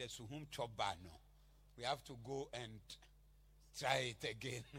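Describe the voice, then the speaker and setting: A man's bright, sharp voice at medium pitch, with vocal fry and ordinary pitch variation. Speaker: pastor. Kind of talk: fiery prophetic sermon declaring blessings over the congregation. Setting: church convention with live congregation. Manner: loud, emphatic preaching building to crescendos.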